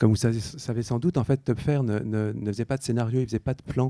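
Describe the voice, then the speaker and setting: A man's medium-pitched voice, dark and mellow, at a fairly quick pace, with a dry, close sound and no echo. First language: Dutch (speaking French). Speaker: illustrator and picture book artist. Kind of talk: on-stage interview. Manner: hesitant, many fillers.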